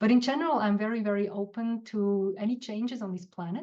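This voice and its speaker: At a moderate pace, a woman speaks in a medium pitch with ordinary pitch variation, a dark, mellow tone and a somewhat breathy quality. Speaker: guest, business coach. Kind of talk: reflective talk on live show. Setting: live online show. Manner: halting, with fillers.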